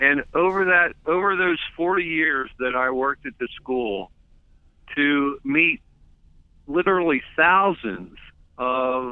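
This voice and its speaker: A man talks at a very slow pace, leaving long, frequent pauses. His fairly high voice carries lively intonation. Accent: American. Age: 70s. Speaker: retired school administrator and coach. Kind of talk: interview. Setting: phone call.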